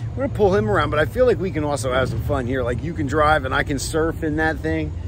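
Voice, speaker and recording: A man races along at a very fast pace with noticeable noise in the background. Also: dry sound with no echo. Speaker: vlogger. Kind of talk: casual vlog chat. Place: garden. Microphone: phone near.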